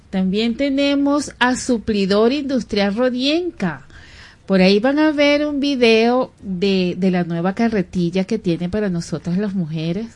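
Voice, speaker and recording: Speaking at a fairly slow pace with a Venezuelan accent, a woman uses lively intonation. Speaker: radio host. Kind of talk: radio talk show. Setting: radio studio. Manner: animated.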